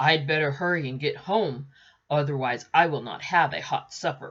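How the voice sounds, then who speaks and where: A woman uses a put-on character voice, growling at a very deep, low pitch. She talks at a moderate pace with ordinary pitch variation. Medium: read story. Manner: impatient, hurried.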